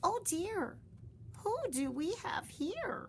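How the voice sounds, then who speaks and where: Over clear background noise, a woman does a put-on character voice, squeaky and extremely high-pitched, with very wide pitch swings. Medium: read story. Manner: prim, genteel.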